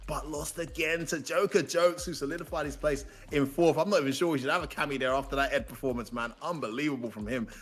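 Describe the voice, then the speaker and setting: Music plays in the background as a man talks at a very fast pace. His tone is animated, with ordinary pitch variation. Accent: British. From UK. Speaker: esports commentator. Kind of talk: live commentary.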